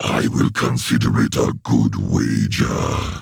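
Booming in a put-on character voice, a man talks at a fairly slow pace with a very deep, low pitch.

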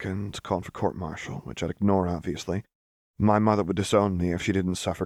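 Plain reading aloud with fairly even intonation is heard over a quiet background.

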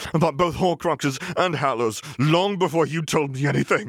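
This man uses a put-on character voice with a hissing quality, pitched fairly high and delivered at a moderate pace. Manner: hissing, accusatory, bitter.

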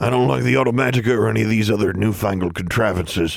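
Using a put-on character voice, a man speaks at a very fast pace, raspy and fairly low in pitch. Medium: read story. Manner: grumbling, traditionalist.

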